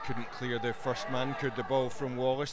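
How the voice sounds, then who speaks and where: The sound is dry with no echo, and loud background noise is present. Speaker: match commentator. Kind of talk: live football commentary.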